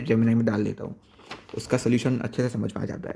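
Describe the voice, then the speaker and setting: Against a silent background in a very clean recording, a man speaks with a dark, mellow tone and fairly even intonation. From Gujarat, India. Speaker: student vlogger. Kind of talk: casual vlog. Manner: halting.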